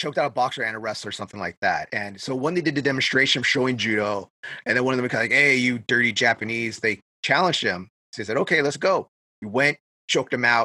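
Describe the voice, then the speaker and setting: Very fast speech from a man, with ordinary pitch variation. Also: medium pitch for a man, dry, close sound with no echo. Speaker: podcast host, martial arts practitioner. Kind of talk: casual chat, podcast conversation.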